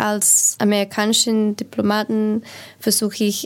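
A woman with an English accent in a very clean recording with a silent background. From United States. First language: English (speaking German). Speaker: diplomat. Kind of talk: panel discussion.

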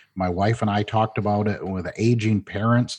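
A man with a Midwestern American accent talks at a moderate pace in a fairly low pitch with fairly even intonation, over a quiet background. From Michigan, Flint. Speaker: management consultant. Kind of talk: interview.

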